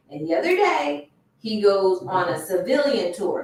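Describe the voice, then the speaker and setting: Somewhat breathy, a woman talks at a fairly slow pace while her pitch swings very widely. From US South, Miami, Florida. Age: 40s. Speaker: lawyer and online show host. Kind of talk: casual commentary livestream. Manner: animated.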